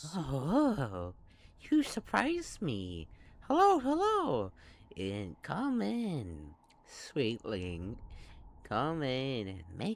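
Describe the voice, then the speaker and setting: A put-on character voice at low-to-middle pitch moves at a very slow pace with long, frequent pauses. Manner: sweet, welcoming.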